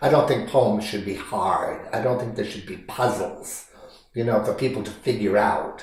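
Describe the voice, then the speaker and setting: With audible echo from the room and clear background noise, the man's pitch varies in an ordinary way. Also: medium pitch for a man, moderate pace. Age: 70s. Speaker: poet. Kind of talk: interview. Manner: halting, with frequent repetitions.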